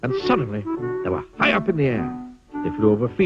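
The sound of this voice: Heard here is an unforced reading voice.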